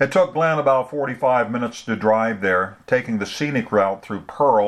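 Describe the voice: The speaker is doing plain reading aloud.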